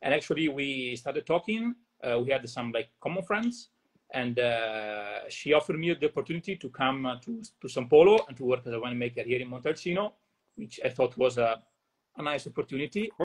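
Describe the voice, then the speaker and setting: In an Italian accent, a man speaks at a fairly quick pace with lively intonation. His voice is fairly high and somewhat breathy, the sound dry and close with no echo. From northern Italy, Verona. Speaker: winemaker. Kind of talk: interview.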